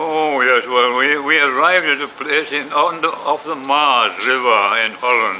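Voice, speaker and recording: With hardly any pauses, a man speaks at a fairly slow pace in a fairly high pitch and fairly even intonation over noticeable background noise. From Wales. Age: 80s+. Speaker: war veteran. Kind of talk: interview answer.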